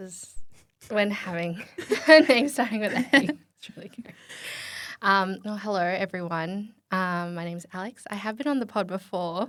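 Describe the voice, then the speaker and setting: In an Australian accent, a woman with a medium pitch speaks at a moderate pace, her intonation lively and her loudness swinging widely, on a very clean recording with a silent background. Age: 20s. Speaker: podcast guest. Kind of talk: casual chat. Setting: studio.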